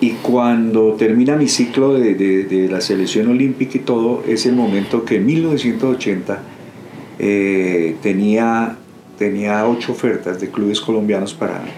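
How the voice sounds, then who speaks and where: At a fairly slow pace, a man speaks amid noticeable background noise and audible room echo. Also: medium pitch for a man, ordinary pitch variation. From Colombia, Bogotá. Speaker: retired footballer. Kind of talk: interview. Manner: halting.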